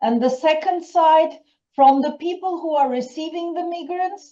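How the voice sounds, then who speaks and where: A woman is speaking. Her tone is dark and mellow. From German family long settled in Turkey. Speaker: workshop participant. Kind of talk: audience comment in a seminar. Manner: halting.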